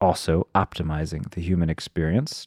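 The pace is moderate as a man talks. His sound is dry and close, with no echo. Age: 30s. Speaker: podcast host. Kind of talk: casual interview conversation. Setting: remote call.

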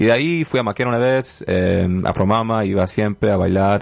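With ordinary pitch variation and a moderate speed, a man talks against noticeable background noise. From Canada. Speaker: rapper and dancer. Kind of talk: radio interview. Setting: radio studio.

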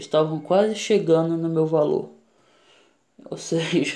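Here is a man with a high pitch. His pitch variation is ordinary. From Pará, northern Brazil. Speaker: comedian podcaster. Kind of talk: casual comedic monologue. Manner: halting, many fillers.

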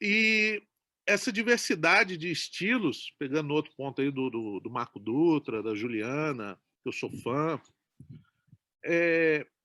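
In a very clean recording with a silent background and a dry, close sound with no echo, a man speaks very slowly at a fairly high pitch, in a bright, sharp tone, his pitch swinging very widely between long, frequent pauses. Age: 40s. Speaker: film director. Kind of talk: interview.

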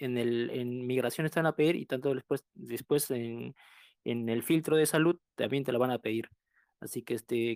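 A man with an ordinary speaking voice talks at a moderate pace and medium pitch with ordinary pitch variation, in a very clean recording with a silent background and a dry, close sound with no echo. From southern Peru. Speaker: recent immigrant caller. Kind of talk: casual group discussion.

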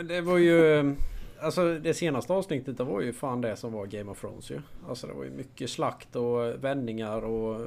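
A man speaks in a plain, everyday voice at a medium pitch. His moderate pace carries lively intonation. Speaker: guest co-host. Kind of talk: casual chat.

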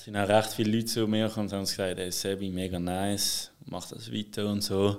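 The speech runs at a fairly quick pace with hardly any pauses. Its intonation is monotone and flat, while the loudness swings widely. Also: man, fairly low pitch for a man. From Switzerland, Basel. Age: 20s. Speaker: DJ and music producer. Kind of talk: casual interview. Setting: studio.

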